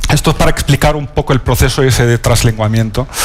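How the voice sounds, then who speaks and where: A man talks fairly fast, his pitch varying in an ordinary way, with noticeable background noise in the recording. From northern Morocco (Alhucemas, Rif). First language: Riffian Berber (Amazigh) (speaking Spanish). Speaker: novelist. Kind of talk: panel talk at a literary event. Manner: halting, many fillers.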